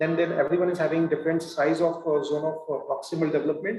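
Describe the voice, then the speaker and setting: A dark, mellow tone in an Indian accent comes through with audible room echo. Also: man. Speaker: professor. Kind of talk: lecture. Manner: halting, many fillers.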